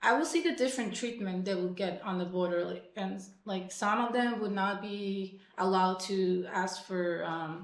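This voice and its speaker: A woman speaks at a moderate pace with audible room echo. Noticeable background noise is present. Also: medium pitch for a woman, ordinary pitch variation, hardly any pauses. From Mexico, Tijuana. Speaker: punk musician. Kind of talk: casual interview. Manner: hesitant, many fillers.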